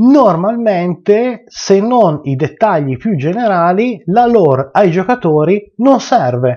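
A man talks at a very slow pace. He hardly pauses at all. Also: quiet background. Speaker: tabletop RPG game master, video channel host. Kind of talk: unscripted video rant about game mastering. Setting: home video recording, addressing viewers. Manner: unscripted, rambling, impassioned, forceful and exasperated. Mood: passionate, mildly annoyed rant. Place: home room.

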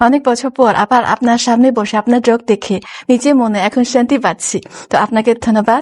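A woman with a Chinese accent, fairly high in pitch, with fairly even intonation and very even loudness in a dry, close sound with no echo. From China. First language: Chinese (speaking Bengali). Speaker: journalist. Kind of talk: interview.

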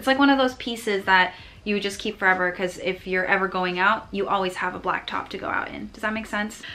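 A woman speaks at a very fast pace and a medium pitch. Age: 20s. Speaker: lifestyle vlogger. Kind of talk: vlog haul, casual talk to camera. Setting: at home, filming to camera. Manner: animated. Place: home room. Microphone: phone near.

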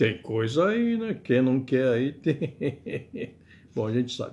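A man's voice with fairly high pitch. His pitch swings very widely. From Brazil. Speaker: web radio commentator; political commentator. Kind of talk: political commentary monologue; casual vlog commentary. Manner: casual, chatty with frequent filler words. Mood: wry, joking. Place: home room. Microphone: webcam.

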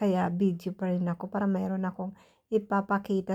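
A woman's dark, mellow tone at medium pitch, on a very clean recording with a silent background. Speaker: vlogger. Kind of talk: casual vlog narration. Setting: outdoors at bus stop and on bus.

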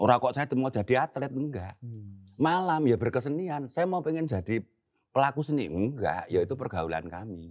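A man talks at a moderate pace with very wide pitch swings. Behind him, the background is quiet. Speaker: veteran theater actor and comedian. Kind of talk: casual interview chat. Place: garden.

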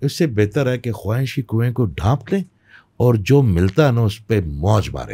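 Over a quiet background, a man speaks at a moderate pace with lively intonation and a dark, mellow, somewhat breathy tone. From Pakistan, Peshawar; Pakistan. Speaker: spiritual healer; podcast guest. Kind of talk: interview. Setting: studio. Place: studio. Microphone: studio mic.

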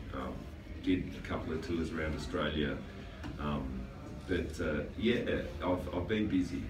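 Background music behind a man talking at a moderate speed. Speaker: guest. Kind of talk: interview answer. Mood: jokey, relaxed. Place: studio.

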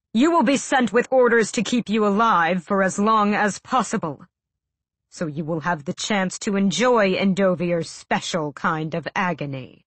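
In a put-on character voice, a woman growls at medium pitch and a moderate pace, her intonation lively. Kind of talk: audiobook dialogue. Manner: cold, menacing.

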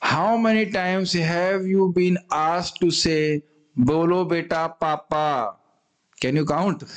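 Against a quiet background, a man with a high pitch speaks at a very slow pace, with ordinary pitch variation and very even loudness. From India. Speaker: spiritual teacher. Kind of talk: scripture class. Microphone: studio mic.

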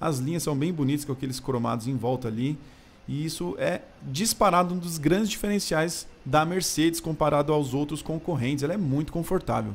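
A somewhat breathy man speaks at a fairly quick pace, his pitch varying in an ordinary way. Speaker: car reviewer. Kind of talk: car walkaround commentary. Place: garage. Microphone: phone near.

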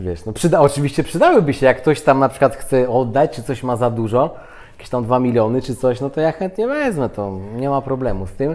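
In a normal speaking voice, a man talks at a fairly quick pace with hardly any pauses. His medium pitch shows ordinary variation, while his loudness swings widely. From Poland. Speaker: interview guest. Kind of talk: casual interview chat. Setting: on camera.

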